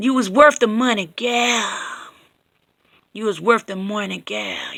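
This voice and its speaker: A woman in a put-on character voice, fairly high in pitch and fairly slow, with fairly even intonation and big swings in loudness. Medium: read story. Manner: drawling, condescending.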